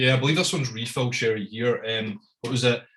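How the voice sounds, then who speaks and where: A man's medium-pitched voice in a strong Scottish accent, bright and sharp in tone, at a fairly quick pace with ordinary pitch variation. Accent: thick Scottish. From Scotland. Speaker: whisky importer and tasting host. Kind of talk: live online whisky tasting presentation. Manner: casual, hesitant.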